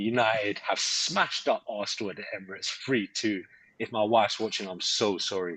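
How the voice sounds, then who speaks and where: A fairly low-pitched man's voice at a fairly quick pace. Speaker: football podcast host. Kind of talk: live podcast chat. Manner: animated.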